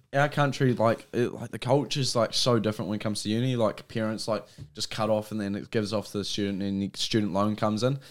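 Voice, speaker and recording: A man with a New Zealand accent speaks very fast in a fairly low voice. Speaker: podcast host. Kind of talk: casual chat. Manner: animated.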